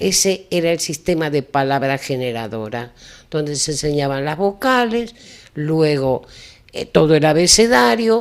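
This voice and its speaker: This woman's very deep, low voice has very wide pitch swings. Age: 80s+. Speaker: retired teacher. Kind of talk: talk show interview.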